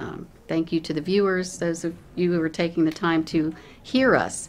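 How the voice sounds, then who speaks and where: A woman with a plain, everyday voice and an American accent talks at a moderate pace and a fairly low pitch. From Connellsville, western Pennsylvania. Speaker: judicial candidate, lawyer. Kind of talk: closing statement at candidate forum.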